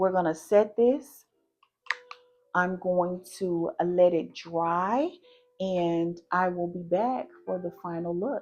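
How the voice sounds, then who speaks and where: With a Southern US accent, a woman speaks very slowly at a fairly low pitch with ordinary pitch variation. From US South. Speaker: beauty vlogger. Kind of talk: makeup tutorial with casual chat. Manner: casual, chatty.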